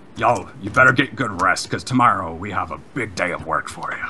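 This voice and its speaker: A man puts on a raspy character voice at a medium pitch. He talks at a fairly quick pace over clear background noise. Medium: actual play. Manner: gruff, casual.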